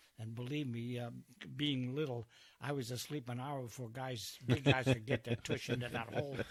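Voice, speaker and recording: A man's medium-pitched, somewhat breathy voice with an American accent, a fairly quick pace and fairly even intonation. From US Northeast, New Jersey. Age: 90s. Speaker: war veteran. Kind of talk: interview storytelling.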